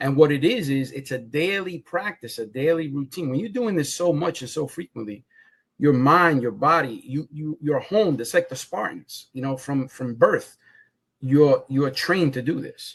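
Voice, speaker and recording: A man with a New York accent speaks at a moderate pace, his fairly high voice showing ordinary pitch variation. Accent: Bronx New York. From New York City (Bronx). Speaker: comic book creator. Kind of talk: casual interview. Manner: animated; repetitive false starts.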